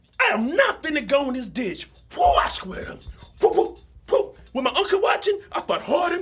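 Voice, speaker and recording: A man talks in an animated tone at a moderate pace, his pitch swinging very widely. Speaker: actor. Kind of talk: dramatic monologue performance. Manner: animated storytelling.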